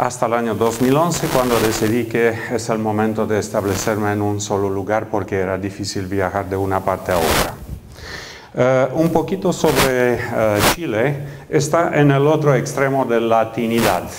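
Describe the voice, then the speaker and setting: Noticeable background noise and audible room echo surround this recording. A man speaks at a moderate pace with lively intonation. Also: medium pitch for a man. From Romania, Transylvania. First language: Romanian (speaking Spanish). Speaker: professor. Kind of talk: lecture. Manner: hesitant, many fillers.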